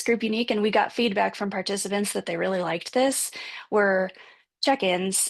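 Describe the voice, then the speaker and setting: A normal speaking voice talks at a moderate pace with ordinary pitch variation. The background is quiet. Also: woman. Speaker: panelist presenting on a support group. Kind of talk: panel presentation with slides. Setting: video call.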